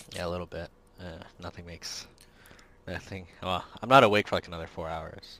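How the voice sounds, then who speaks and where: A man with a very deep, low pitch and a bright, sharp tone talks at a fairly quick pace, with fairly even intonation, big swings in loudness, and long, frequent pauses. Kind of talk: casual chat.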